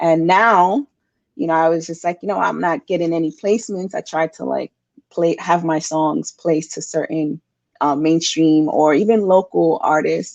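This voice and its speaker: A woman with a New York accent speaks at a moderate pace, her fairly low pitch showing ordinary variation. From New York City, Bronx. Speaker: singer-songwriter. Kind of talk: interview. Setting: podcast interview.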